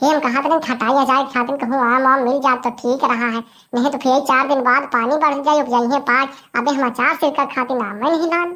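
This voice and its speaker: A woman puts on a cartoonish character voice at a high pitch. She rattles along at a very fast pace. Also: fairly even intonation. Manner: chatty, rambling.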